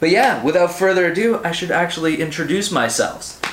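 There is noticeable background noise and audible room echo. A man talks at a fairly quick pace with ordinary pitch variation. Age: 20s. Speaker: comics podcaster. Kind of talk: casual monologue. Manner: animated.

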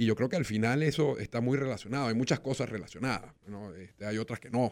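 Here a man with a medium pitch speaks at a fairly quick pace, using ordinary pitch variation. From Venezuela. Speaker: sports lawyer. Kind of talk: casual chat.

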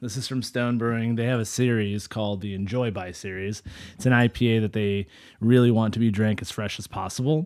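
A plain, everyday voice with an American accent, fairly even intonation and a fairly quick pace, in a very clean recording with a silent background. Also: man, medium pitch for a man. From US Central Valley, California. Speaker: podcast host. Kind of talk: casual interview chat.

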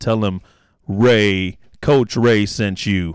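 A man, recorded very cleanly against a silent background. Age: 40s. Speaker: podcast host and youth coach. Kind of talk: casual chat. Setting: studio.

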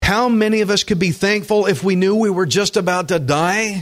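A man speaks with a Texan accent. The recording is very clean, with a silent background. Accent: Texan country drawl. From Texas (Alvin, Gulf Coast). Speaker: pastor. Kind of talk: sermon. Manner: animated.

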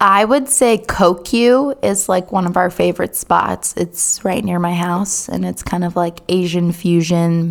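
A normal speaking voice with an American accent, a fairly slow pace and ordinary pitch variation. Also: woman, fairly low pitch for a woman. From North Carolina, Durham. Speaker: children's ministry director. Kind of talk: casual chat. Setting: studio.

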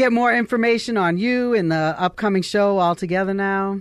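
A woman's ordinary speaking voice at medium pitch and moderate pace, with ordinary pitch variation, over a quiet background. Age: 20s. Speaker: radio host. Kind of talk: interview. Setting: studio.

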